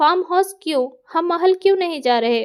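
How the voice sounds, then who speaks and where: Using a put-on character voice, a woman speaks at a moderate pace with lively intonation and an extremely high pitch. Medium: read story. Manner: cold, curt.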